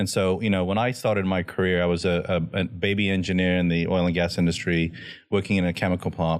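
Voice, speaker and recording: Recorded very cleanly with a silent background, a man with an American accent speaks in a very deep, low pitch and fairly even intonation. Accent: Cajun-tinged Southern US. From Louisiana, US. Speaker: business executive and entrepreneur. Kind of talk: casual interview chat.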